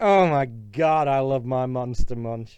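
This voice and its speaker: With a British accent, a man speaks at a very slow pace. His medium-pitched voice has a dark, mellow tone. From Britain. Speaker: YouTuber. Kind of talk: casual vlog monologue. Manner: halting, with fillers and restarts.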